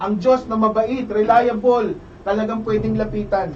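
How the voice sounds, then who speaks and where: With noticeable background noise behind it, the voice has an animated tone and moves at a moderate pace. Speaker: preacher leading opening prayer. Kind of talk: fervent prayer; sermon-like exhortation. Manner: fervent, emphatic, repeating praises; animated, raised voice.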